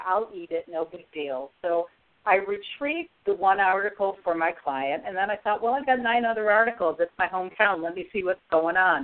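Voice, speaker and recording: A woman with an American accent speaks in a plain, everyday voice at medium pitch and moderate pace. Her intonation is lively, with hardly any pauses. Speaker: resilience coach and author. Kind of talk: radio interview.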